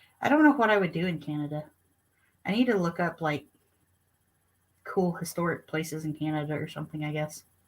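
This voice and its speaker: Her somewhat breathy voice is fairly low for a woman, broken by long, frequent pauses. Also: ordinary pitch variation. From Arkansas. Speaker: homesteading channel co-host. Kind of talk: casual live-stream chat.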